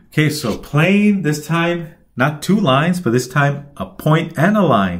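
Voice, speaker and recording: Somewhat breathy speech with lively intonation moves at a fairly slow pace, and room echo can be heard. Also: man, fairly high pitch for a man. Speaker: instructor. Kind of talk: tutorial.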